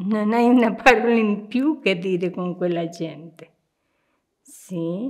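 Against a quiet background, a woman with a Spanish accent speaks at a very slow pace, with ordinary pitch variation and long, frequent pauses. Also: medium pitch for a woman. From Argentina. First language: Spanish (speaking Italian). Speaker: nun. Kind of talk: interview. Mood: warm, reflective. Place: home room.

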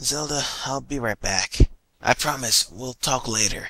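A man's raspy, put-on character voice at medium pitch and moderate pace, dry and close with no echo. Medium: machinima. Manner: casual, cocky.

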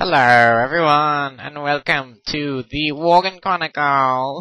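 A man puts on a character voice at a fairly high pitch. He speaks at a fairly slow pace with fairly even intonation. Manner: dramatic, put-on announcer voice.

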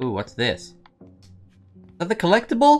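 Faint music plays behind a man speaking at a fairly quick pace. His tone is playful. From Northeast England. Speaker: game streamer. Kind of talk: let's play gameplay commentary. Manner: laid-back, playful. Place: home room.

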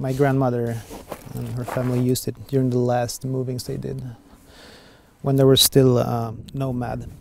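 A man with a Swedish accent speaks at a moderate pace in a monotone, flat intonation, leaving long, frequent pauses. The sound is dry with no echo, with light background noise. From southern Sweden. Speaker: artist, documentary subject. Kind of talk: documentary interview; interview answer. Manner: halting. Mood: reflective, somewhat frustrated. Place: open country.

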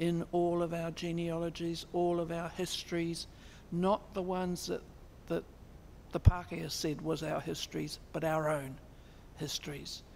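A woman with a New Zealand accent speaks at a fairly slow pace in a fairly low, monotone, flat voice. Light background noise is present. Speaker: Māori constitutional advocate; speaker. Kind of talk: lecture. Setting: stage with audience. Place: hall. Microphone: podium.

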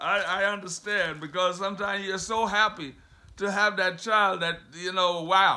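A man speaks in a raised, projected voice at a high pitch and a fairly slow pace. His tone is animated, bright and sharp. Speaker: preacher. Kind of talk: sermon; scripture reading and Bible teaching. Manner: animated, fervent preaching, with exclamations like 'have mercy'; conversational, with pauses, repeats and rhetorical questions. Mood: warm, earnest teaching. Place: home room. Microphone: phone near.

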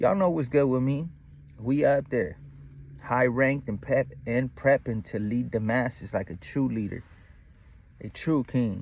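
Long, frequent pauses break up a man's fairly slow speech, which has ordinary pitch variation and a dry sound with no echo. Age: 30s. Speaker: spiritual vlogger. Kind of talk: casual monologue. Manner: animated. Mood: relaxed, reflective, confident.

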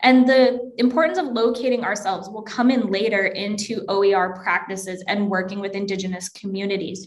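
A woman talks with ordinary pitch variation and hardly any pauses. The background is quiet. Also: moderate pace. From Alberta, Canada (small town near Edmonton). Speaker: academic librarian; presenter. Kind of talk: lecture. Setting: video call. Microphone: webcam.

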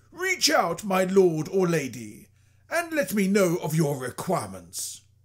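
Put-on character voice from a man, pitched high, delivered at a fairly slow pace. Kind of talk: video game character demo.

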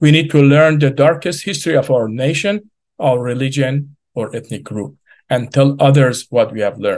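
Against a quiet background, a man talks at a moderate pace with ordinary pitch variation. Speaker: remote speaker. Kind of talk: prepared speech. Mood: earnest and serious. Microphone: video call.

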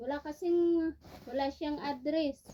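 A woman is speaking. Her pace is very slow. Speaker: vlogger. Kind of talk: casual unboxing vlog. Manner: animated.

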